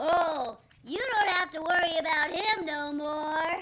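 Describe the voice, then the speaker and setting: Using a put-on character voice, the speaker talks at an extremely high pitch and a fairly slow pace. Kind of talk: 1940s radio comedy. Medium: audio drama. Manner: giggling.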